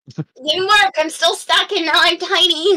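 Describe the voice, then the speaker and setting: Pitched extremely high, the put-on character voice goes along at a moderate pace. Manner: annoyed, frustrated.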